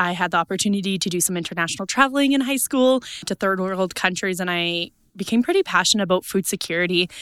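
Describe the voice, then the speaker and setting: With a Canadian Prairie accent, a woman speaks at a very fast pace. Her pitch is medium and her tone bright and sharp. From east central Saskatchewan. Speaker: agricultural events worker and farmer. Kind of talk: interview. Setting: conference.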